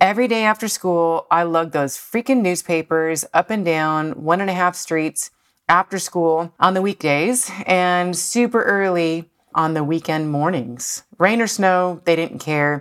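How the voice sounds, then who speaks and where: A woman with an American accent and an unremarkable speaking voice talks at a fairly slow pace and fairly low pitch with ordinary pitch variation, on a very clean recording with a silent background and a dry, close sound with no echo. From Buffalo, New York. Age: 40s. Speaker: podcast host and loan officer. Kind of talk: motivational monologue. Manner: casual, laughing often.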